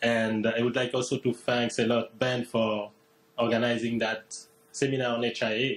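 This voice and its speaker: A man speaks with a French accent at a moderate pace, his pitch medium. His intonation is flat and monotone, and his loudness stays very even. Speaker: postdoctoral researcher. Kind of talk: seminar presentation. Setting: seminar room with livestream.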